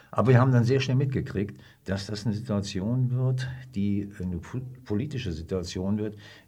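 There is audible room echo around a man whose somewhat breathy voice has a medium pitch, ordinary pitch variation, a dark, mellow tone and a moderate pace. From northern Germany, Hannover. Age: 70s. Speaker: retired army officer. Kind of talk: interview, personal recollection. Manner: halting, with many fillers.

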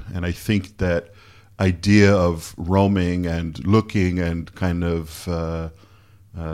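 On a very clean recording with a silent background, a man with a Canadian accent speaks in a very deep, low pitch with fairly even intonation. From Canada. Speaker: photographer. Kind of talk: casual chat. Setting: hotel room.

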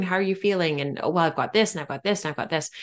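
A woman's voice with ordinary pitch variation. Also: quiet background. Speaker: podcast host. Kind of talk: casual chat.

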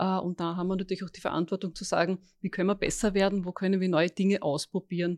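A woman with a normal speaking voice talks fairly quickly at a medium pitch. The recording is very clean with a silent background and a dry, close sound with no echo. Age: 50s. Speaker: recruitment executive. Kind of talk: interview. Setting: office room.

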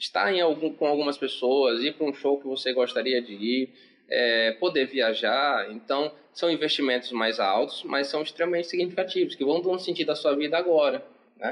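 With a plain, everyday voice, a man speaks at a moderate pace, his fairly high pitch showing ordinary variation. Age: 20s. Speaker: psychologist. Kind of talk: casual chat.

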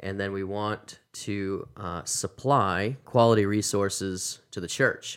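In an American accent, the speaker goes at a very slow pace with hardly any pauses and fairly even intonation, on a very clean recording with a silent background. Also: man, fairly low pitch for a man. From Massachusetts. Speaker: seminary professor. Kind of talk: casual interview.

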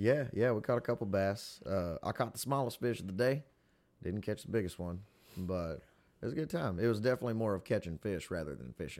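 In a Southern US accent, a man speaks at a fairly low pitch on a very clean recording with a silent background. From Tennessee, Pickwick. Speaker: fiddle player, musician. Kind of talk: casual chat. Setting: studio.

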